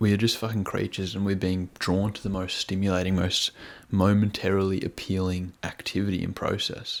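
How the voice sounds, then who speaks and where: A man speaks quietly at a fairly quick pace in a very deep, low voice. His intonation is monotone and flat. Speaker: self-improvement youtuber. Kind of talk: casual vlog monologue. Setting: at home with housemates asleep. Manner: quiet, keeping voice down.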